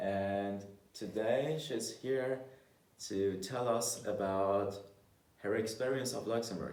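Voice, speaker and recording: In a room with audible echo, a man speaks at a very slow pace with long, frequent pauses. His medium pitch shows ordinary pitch variation. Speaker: video blogger. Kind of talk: interview. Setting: university library.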